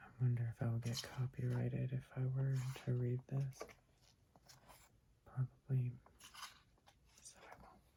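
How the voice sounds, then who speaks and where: The speaker is soft-spoken. Long, frequent pauses break up the speech. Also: fairly slow pace. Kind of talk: soft-spoken ASMR talk to camera about books. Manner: soft-spoken, quiet.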